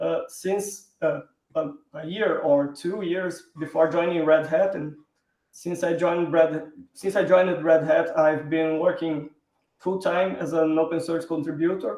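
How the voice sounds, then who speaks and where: A man's high-pitched, monotone voice at a fairly slow pace, in a Brazilian Portuguese accent. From southern Brazil, Porto Alegre. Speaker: software engineer, open source contributor. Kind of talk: live stream interview.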